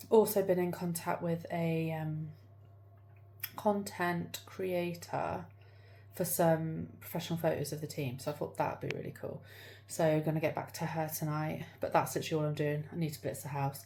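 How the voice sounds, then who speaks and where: Speaking with an English accent, a woman talks at a moderate pace in a very deep, low pitch with a dark, mellow, somewhat breathy tone. Audible room echo surrounds her voice. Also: ordinary pitch variation. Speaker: vlogger and salon owner. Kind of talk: casual vlog. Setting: in a car. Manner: whispering.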